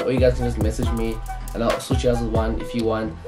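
Talking at a very fast clip, a man is heard with clear music behind him. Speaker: sneaker content creator. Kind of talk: tutorial. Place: home room.

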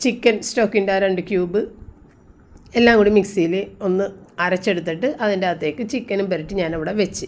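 A woman uses an ordinary speaking voice with ordinary pitch variation. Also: medium pitch for a woman. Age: 50s. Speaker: home vlogger, mother. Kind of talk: casual vlog narration. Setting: at home.

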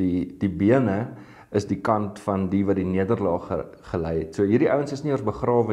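Against a quiet background, a man with a dark, mellow tone speaks at a fairly low pitch with ordinary pitch variation. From South Africa. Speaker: pastor. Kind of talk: sermon. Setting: online video devotion. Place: studio. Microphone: lapel.

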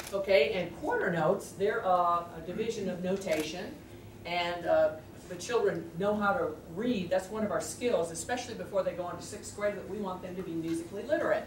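A woman talks at a fairly quick pace. Audible room echo and light background noise surround her voice. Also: big swings in loudness. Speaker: music teacher. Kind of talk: presentation to a meeting audience. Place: meeting room.

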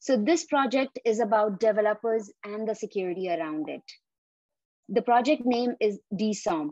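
In a quiet background with a dry sound and no echo, a woman speaks at a moderate pace with lively intonation. Her voice is fairly high, with a dark, mellow tone. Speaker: interview host. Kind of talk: interview.

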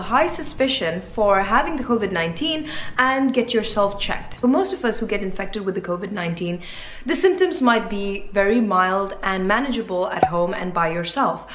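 A woman's voice at a moderate pace, with light background noise and audible room echo. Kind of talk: health explainer talk. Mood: calm, informative. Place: home room. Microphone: phone near.

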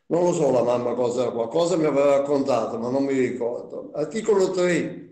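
Pausing hardly at all, a man with a fairly high voice speaks at a moderate pace, with audible room echo against a quiet background. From Naples, Italy; Italy. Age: 80s+. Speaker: Holocaust survivor witness; witness. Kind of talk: testimony. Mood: calm, reflective, earnest. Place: home room. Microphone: video call.

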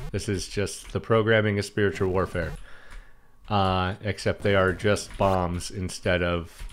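The speaker talks at a fairly slow pace with fairly even intonation while faint music plays in the background. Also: man. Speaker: game streamer. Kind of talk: gameplay commentary. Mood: wry, joking. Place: home room.

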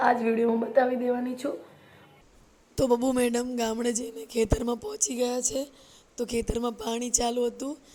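A woman speaks at a high pitch in a monotone, flat intonation. Noticeable background noise runs underneath. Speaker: vlogger and mother. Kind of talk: casual vlog talk to camera.

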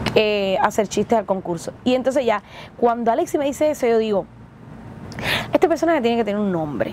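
A woman speaks at a fairly quick pace with ordinary pitch variation. The sound is dry with no echo, and there is light background noise. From Cuba. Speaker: actress and comedian. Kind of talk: interview storytelling. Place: bus. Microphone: lapel.

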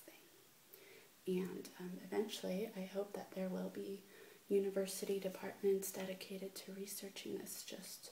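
A woman is soft-spoken with a gentle tone. Light background noise and audible room echo surround her. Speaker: ASMR video creator. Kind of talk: casual vlog chat. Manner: soft-spoken, gentle, low volume. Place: home room. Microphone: webcam.

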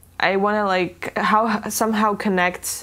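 Very slow pace from a woman. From Estonia. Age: young. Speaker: dancer, choreographer and artist. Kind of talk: interview answer. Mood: calm, reflective, smiling. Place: home room. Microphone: lapel.

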